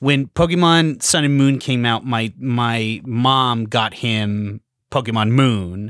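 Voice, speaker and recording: Over a silent background in a very clean recording, a man at medium pitch talks at a very slow pace with ordinary pitch variation. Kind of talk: casual chat.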